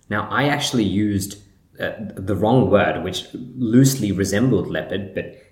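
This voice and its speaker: A man talks at a moderate pace and a fairly low pitch with ordinary pitch variation, over noticeable background noise. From Sri Lanka. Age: 20s. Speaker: podcast host. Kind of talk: solo monologue podcast. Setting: recorded while in Sri Lanka. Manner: reflective, conversational.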